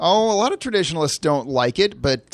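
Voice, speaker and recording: Lively intonation marks this man's ordinary speaking voice, delivered with an American accent. He keeps to a moderate pace. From Chicago suburbs, Illinois. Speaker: political candidate. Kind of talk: interview. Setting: studio.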